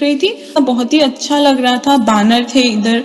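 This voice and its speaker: A woman speaks in a Nepali accent. Noticeable background noise can be heard. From Nepal, Kathmandu. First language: Nepali (speaking Hindi). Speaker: devotee sharing experience. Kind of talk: testimony. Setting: video call.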